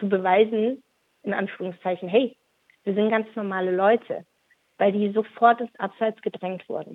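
A woman speaks at a moderate pace with a medium pitch, a normal speaking voice. Her intonation is fairly even. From Stuttgart, Germany. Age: 30s. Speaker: activist. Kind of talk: interview. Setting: phone call. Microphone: phone line that drops out at times.

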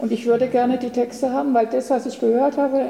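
Noticeable background noise sits behind a woman's high-pitched voice. She talks at a fairly quick pace with fairly even intonation. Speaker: retired teacher. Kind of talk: audience Q&A remark. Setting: audience at reading.

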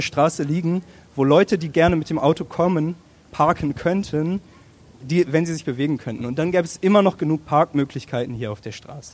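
A man with an ordinary speaking voice talks at a fairly high pitch, his pitch varying in an ordinary way. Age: 20s. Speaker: student who did a traffic study. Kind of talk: public panel discussion.

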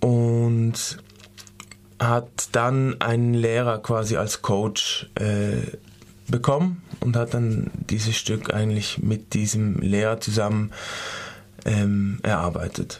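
Very slow speech with long, frequent pauses, fairly even intonation and very even loudness. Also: man, medium pitch for a man. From Switzerland. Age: 20s. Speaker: dance student. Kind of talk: radio interview. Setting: studio. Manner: halting.

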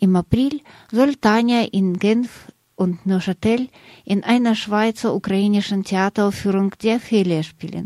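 Her medium-pitched voice carries a dark, mellow tone and ordinary pitch variation at a fairly slow pace. The woman is recorded very cleanly, with a silent background and a dry, close sound with no echo. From Russia. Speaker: radio journalist. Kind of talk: scripted narration.

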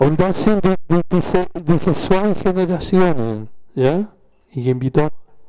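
A high-pitched man's voice at a very slow pace, lively in intonation and very even in loudness. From southern Chile. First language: Spanish (speaking German). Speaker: former political prisoner, witness. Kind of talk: panel talk, personal testimony. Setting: café event with audience. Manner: halting.

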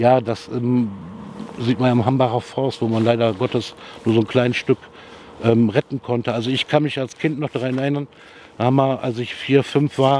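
At a fairly quick pace, a man speaks with fairly even intonation at a medium pitch. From Rhineland, Germany (Jülich). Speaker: local resident. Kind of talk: street interview. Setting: outdoors.

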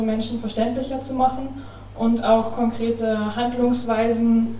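Woman with a fairly high pitch, monotone and flat intonation, fairly slow pace, audible room echo and noticeable background noise. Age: young. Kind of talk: panel discussion. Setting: café event with audience.

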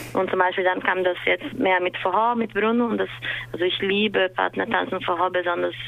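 With a Portuguese accent, a woman talks at a fairly quick pace. Background noise is noticeable. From Brazil, São Paulo. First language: Portuguese (speaking German). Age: 20s. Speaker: dance teacher. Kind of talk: interview. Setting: remote call.

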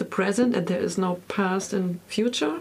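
Over noticeable background noise, a woman talks at a fairly slow pace in a German accent. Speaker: radio host. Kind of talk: interview. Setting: studio.

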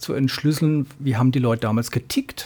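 A man speaks at a moderate pace with medium pitch and fairly even intonation. His tone is dark and mellow, somewhat breathy. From Ludwigshafen and Mannheim, Kurpfalz region, southwestern Germany. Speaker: author and teacher trainer. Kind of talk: radio interview. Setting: radio studio.

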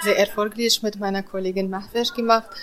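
In a Kurdish accent, a woman speaks with monotone, flat intonation. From Iraqi Kurdistan. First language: Kurdish (speaking German). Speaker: cook. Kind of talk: interview. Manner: halting.

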